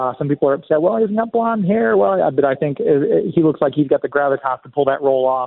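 A man speaks very fast, upbeat and enthusiastic, with hardly any pauses. His fairly high voice moves through very wide pitch swings. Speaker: radio host. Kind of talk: radio DJ patter, upbeat live show host with sponsor plugs. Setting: live at a convention. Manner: upbeat, chatty, enthusiastic.

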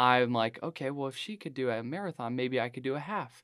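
With fairly even intonation and medium pitch, a man speaks in an unremarkable speaking voice against a quiet background. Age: 20s. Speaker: running coach and ultra-endurance athlete. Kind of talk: casual interview chat.

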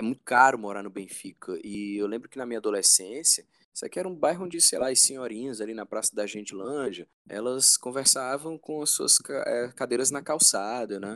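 In a very clean recording with a silent background and a dry, close sound free of echo, a man talks at a fairly quick pace and a medium pitch with ordinary pitch variation. His is an unremarkable speaking voice. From Brazil, Fortaleza (Ceará). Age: 40s. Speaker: rock band vocalist. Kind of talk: casual interview.

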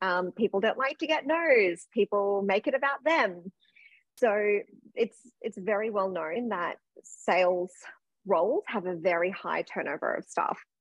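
With an Australian accent, a woman of medium pitch speaks at a fairly slow pace, using lively intonation and long, frequent pauses. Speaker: sales coach. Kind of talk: casual interview.

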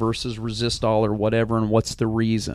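A man speaks at a moderate pace with an American accent. His pitch sits in the medium range. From Montana. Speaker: rodeo announcer. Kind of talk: casual chat.

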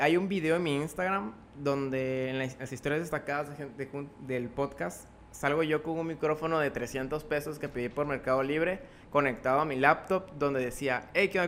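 This man has a fairly high pitch. He talks at a moderate pace with fairly even intonation. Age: young. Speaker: podcaster and author. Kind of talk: interview. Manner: talkative.

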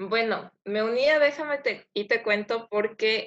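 A woman speaks with an unremarkable speaking voice at a fairly high pitch and ordinary pitch variation. The background is quiet. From Ecuador. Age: 20s. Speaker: podcast co-host, veterinarian. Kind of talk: casual self-introduction.

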